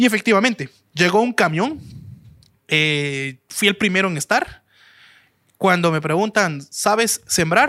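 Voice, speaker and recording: On a very clean recording with a silent background and a dry, close sound with no echo, a man in a raised, projected voice speaks at a high pitch and a fairly slow pace, using lively intonation and long, frequent pauses. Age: 20s. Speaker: restaurant entrepreneur. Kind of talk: interview storytelling.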